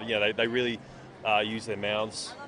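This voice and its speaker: A man with an Australian accent speaks at a very fast pace in a fairly low pitch. His intonation is monotone and flat, and background noise is noticeable. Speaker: comic book writer and artist. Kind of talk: interview. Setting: comic convention. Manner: hesitant, many fillers and repeats.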